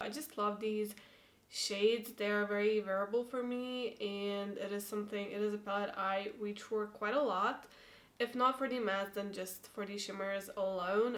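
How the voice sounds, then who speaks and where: A woman speaks with a non-native accent in a monotone, flat intonation. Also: medium pitch for a woman, moderate pace. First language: not English. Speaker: beauty YouTuber. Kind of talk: product review vlog. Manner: casual, hesitant.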